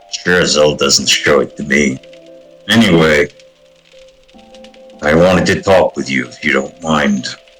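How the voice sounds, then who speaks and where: Over faint music in the background, a man uses a put-on character voice with a very deep, low pitch, speaking at a moderate pace with long, frequent pauses. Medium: actual play. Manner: gruff, dry.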